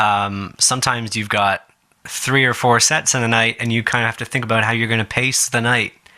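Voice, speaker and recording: Talking at a moderate pace, a man with an unremarkable speaking voice shows ordinary pitch variation. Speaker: jazz radio host and guitarist. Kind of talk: radio interview questions.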